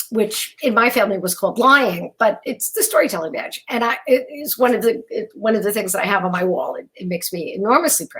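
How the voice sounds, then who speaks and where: This woman has a fairly high voice and lively intonation. She talks at a fairly quick pace. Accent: New York. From New York, Brooklyn. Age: 60s. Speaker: keynote speaker. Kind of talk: keynote speech. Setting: virtual event. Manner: halting, with many fillers.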